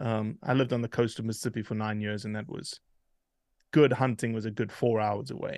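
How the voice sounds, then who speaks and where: A man with a South African accent at a fairly quick pace, fairly even in intonation, in a very clean recording with a silent background. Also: medium pitch for a man. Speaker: hunting advocate, organization leader. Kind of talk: casual interview conversation.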